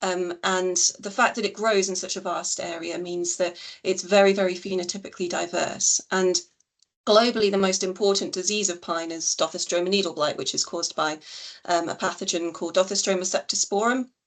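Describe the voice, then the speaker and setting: A woman's medium-pitched voice, fairly quick and fairly even in intonation, against a quiet background. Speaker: scientist. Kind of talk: webinar presentation. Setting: video call. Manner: fast.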